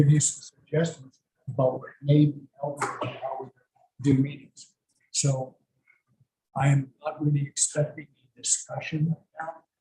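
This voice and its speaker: Soft-spoken and somewhat breathy, a man with a dark, mellow tone and fairly high pitch talks in a monotone, flat way with long, frequent pauses. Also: moderate pace, big swings in loudness. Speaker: town board member. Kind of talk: public meeting discussion.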